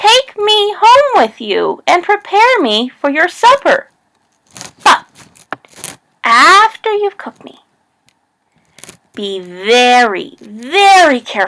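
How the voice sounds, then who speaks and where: In a put-on character voice, the speaker goes at a very slow pace with long, frequent pauses and very wide pitch swings. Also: woman, extremely high pitch for a woman. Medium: read story.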